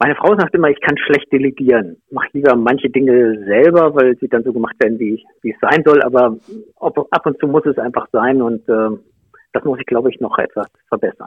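A man talks at a fairly quick pace in a medium pitch with ordinary pitch variation. It is a normal speaking voice. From Lower Saxony, Germany (Nienburg area). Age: 50s. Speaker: mayoral candidate, public administration official. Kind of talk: interview.

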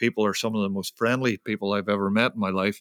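A man with a Northern Irish accent at a fairly low pitch, a bright, sharp tone and fairly even intonation, in a dry, close sound with no echo on a very clean recording over a silent background. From Northern Ireland. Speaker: photojournalist. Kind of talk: interview.

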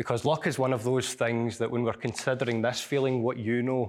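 Over a silent background on a very clean recording, a man speaks fairly quickly at a medium pitch with monotone, flat intonation. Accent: Glasgow. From Scotland. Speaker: scientist and author. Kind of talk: lecture. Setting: lecture hall with audience.

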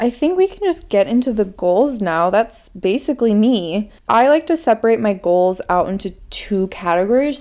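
On a very clean recording with a silent background, a woman speaks at a moderate pace with a fairly high pitch, a dark, mellow tone and lively intonation. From Minnesota. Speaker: podcast host. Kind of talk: personal monologue.

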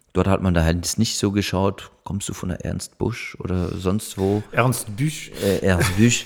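Man with a French accent, at a very slow pace, fairly low pitch and ordinary pitch variation. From Munich, Germany. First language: French (speaking German). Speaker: actor. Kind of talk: casual chat. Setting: living room. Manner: halting.

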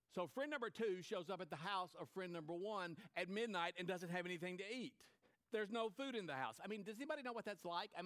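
Simply plain reading aloud.

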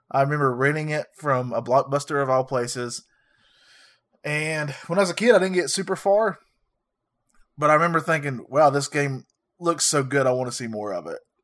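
Fairly quick male speech at a fairly high pitch with long, frequent pauses and ordinary pitch variation, on a very clean recording with a silent background. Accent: Southern. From US South. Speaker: retro video game podcast co-host. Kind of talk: casual chat.

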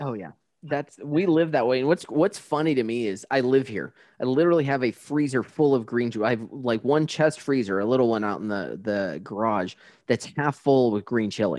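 In a plain, everyday voice, a man speaks at medium pitch and a moderate pace with lively intonation over a quiet background. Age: 40s. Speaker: podcast host. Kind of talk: casual interview chat. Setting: remote interview.

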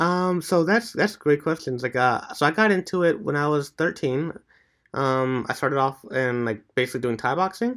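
A man speaks at a moderate pace. His voice is an unremarkable speaking voice, pitched fairly high. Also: lively intonation, very clean recording, silent background. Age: 20s. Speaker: strength and bodyweight training coach. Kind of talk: casual chat.

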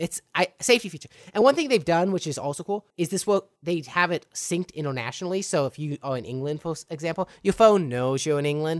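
Pitched high, a man races along at a very fast pace with lively intonation, captured in a very clean recording against a silent background. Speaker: podcast host. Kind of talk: casual chat. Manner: excitable.

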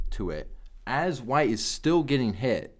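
Pitch swings very widely as a man speaks. He talks at a fairly slow pace. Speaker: MMA podcast co-host. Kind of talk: casual chat. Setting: studio.

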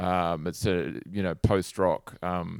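On a very clean recording with a silent background, a man with a New Zealand accent speaks in a very deep, low pitch. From New Zealand, Hawke's Bay. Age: 40s. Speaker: guitar pedal company founder. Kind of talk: casual interview.

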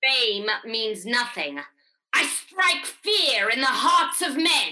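Very slowly, a female-sounding voice in a put-on character voice speaks at a high pitch. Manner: ominous, menacing.

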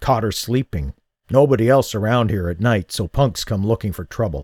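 In a put-on character voice, a man speaks at a medium pitch with lively intonation, on a very clean, dry, close recording with a silent background and no echo. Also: moderate pace. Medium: read story. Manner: terse, clipped.

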